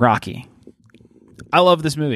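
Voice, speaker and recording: With an American accent, a man speaks in a dry, close recording with no echo, very clean and with a silent background. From Pittsburgh, US. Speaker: podcast co-host. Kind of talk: casual chat.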